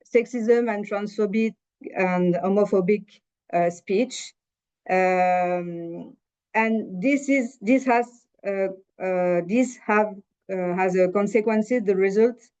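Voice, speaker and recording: A woman with a French accent at a medium pitch, speaking at a very slow pace with long, frequent pauses and ordinary pitch variation. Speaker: panelist. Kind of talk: panel discussion presentation. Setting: webinar. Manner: halting, many fillers.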